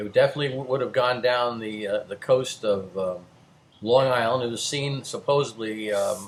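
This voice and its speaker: Over noticeable background noise, a man with a New Jersey accent speaks at a medium pitch with ordinary pitch variation. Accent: New Jersey American. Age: 60s. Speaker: amateur sky observer recounting sighting. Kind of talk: casual monologue video. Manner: halting, many fillers.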